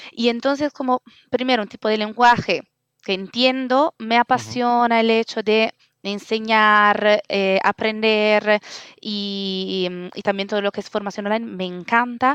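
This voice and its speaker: A woman with a fairly high voice talks at a fairly slow pace, her intonation fairly even. The sound is dry and close with no echo, and the recording is very clean with a silent background. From Italy. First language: Italian (speaking Spanish). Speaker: open-source community organizer. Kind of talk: interview. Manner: halting, many fillers.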